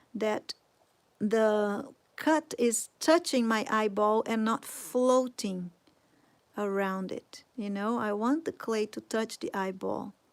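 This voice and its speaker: On a very clean recording with a silent background, a woman with a Portuguese accent speaks at a fairly high pitch. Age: 40s. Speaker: sculpting teacher. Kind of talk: tutorial. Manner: casual.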